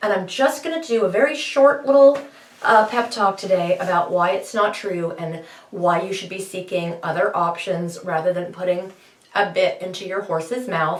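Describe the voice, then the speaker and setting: Lively intonation marks this moderately paced speech, heard over noticeable background noise. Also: woman, medium pitch for a woman. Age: 50s. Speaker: horse trainer and bitless riding advocate. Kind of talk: monologue pep talk. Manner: animated.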